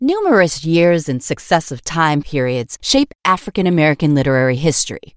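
The speech moves at a fairly quick pace with hardly any pauses and lively intonation, captured in a very clean recording with a silent background and a dry, close sound with no echo. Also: woman, very deep, low pitch for a woman. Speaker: narrator reading a script. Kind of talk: audiobook-style reading of a written essay, scripted narration. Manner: formal, measured, even-paced; clear, informative, scholarly delivery.

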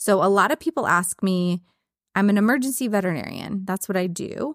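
On a very clean recording with a silent background, a woman with a plain, everyday voice talks fairly quickly at a medium pitch with lively intonation. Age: 40s. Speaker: veterinarian and podcast host. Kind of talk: casual chat.

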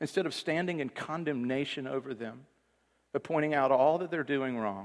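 A man's ordinary speaking voice, fairly high-pitched, with ordinary pitch variation and a fairly quick pace, against a quiet background. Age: 40s. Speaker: pastor. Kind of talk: sermon. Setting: church.

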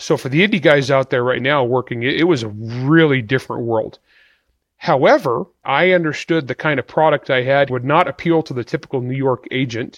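A man speaks at a fairly quick pace with a medium pitch and ordinary pitch variation, in a plain, everyday voice. The sound is dry and close with no echo, over a quiet background. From rural California, Portuguese immigrant community. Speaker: novelist. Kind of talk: interview.

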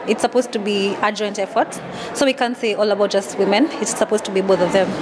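This woman talks at a fairly quick pace in a fairly high pitch with fairly even intonation, and noticeable background noise is present. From Kenya. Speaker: conservation lawyer. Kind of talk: interview. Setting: quiet spot at event. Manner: halting, repetitive.

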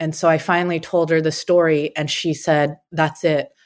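At a moderate pace, a woman with a Californian accent speaks with fairly even intonation on a very clean recording with a silent background. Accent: General American, California. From US West Coast, San Francisco Bay Area. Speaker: self-defense coach. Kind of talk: interview, personal story.

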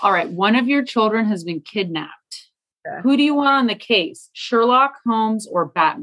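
Her fairly high pitch makes very wide swings as this woman speaks. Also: moderate pace. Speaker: podcast co-host. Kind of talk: casual interview.

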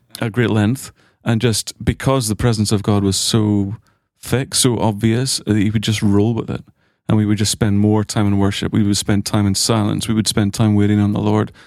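Very clean recording with a silent background, and a man's fairly low, monotone voice with flat intonation at a moderate pace. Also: very even loudness. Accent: Irish. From Ireland. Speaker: graduate of a ministry school. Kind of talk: casual chat. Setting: studio.

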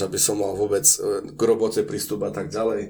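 Speaking at a fairly quick pace, a man uses a dark, mellow tone with vocal fry and ordinary pitch variation. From eastern Slovakia, Spiš region. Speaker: Slovak expatriate in Japan. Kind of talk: casual interview.

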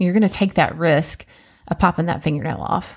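Her voice is fairly low with vocal fry and a slightly mellow tone, and this woman talks at a fairly quick pace with fairly even intonation.

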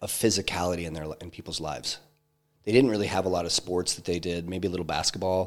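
Talking at a very fast pace, a man with a very deep, low pitch keeps his intonation fairly even while his loudness swings widely. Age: 40s. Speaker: entrepreneur and investor. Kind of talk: casual interview conversation.

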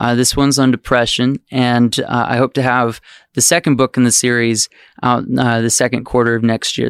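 A man with an American accent speaks at a fairly quick pace in a normal speaking voice, medium in pitch. The sound is dry and close with no echo, and the recording is very clean over a silent background. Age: 20s. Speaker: children's book author and puppeteer. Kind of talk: casual interview chat.

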